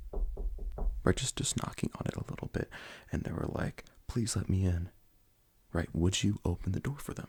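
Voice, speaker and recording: A man whispers at a moderate pace, soft-spoken. His voice is somewhat breathy. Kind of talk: ASMR roleplay interview, personal attention. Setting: binaural microphone recording. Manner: soft-spoken, whispered.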